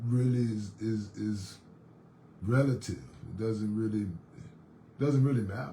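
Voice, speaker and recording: A man with a dark, mellow tone and a somewhat breathy voice speaks at a very slow pace, leaving long, frequent pauses. His pitch varies in an ordinary way, and audible room echo surrounds him. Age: 60s. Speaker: fitness instructor. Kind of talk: casual monologue. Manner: halting, many repetitions and fillers.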